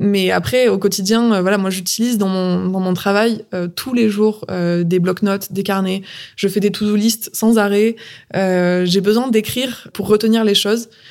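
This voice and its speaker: A woman speaks in an unremarkable speaking voice at medium pitch. Her intonation is fairly even. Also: fairly slow pace. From southern France. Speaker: entrepreneur. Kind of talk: interview.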